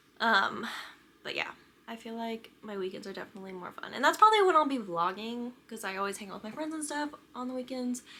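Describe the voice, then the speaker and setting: This woman talks at a very fast pace with a fairly high pitch and lively intonation, in an American accent. Her loudness swings widely, and there is noticeable background noise. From US Midwest, Kansas City, Missouri. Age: 20s. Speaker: book vlogger. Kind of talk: casual chat to camera. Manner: casual, many fillers (um, like).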